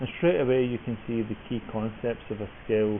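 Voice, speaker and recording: A man with a British accent speaks at medium pitch. His pace is moderate and his intonation fairly even. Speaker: software developer. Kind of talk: tutorial.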